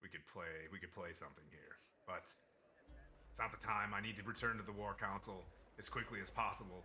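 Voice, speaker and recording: Using a raspy, put-on character voice at a fairly low pitch, a man speaks at a fairly quick pace broken by long, frequent pauses. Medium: actual play. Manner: brisk, businesslike.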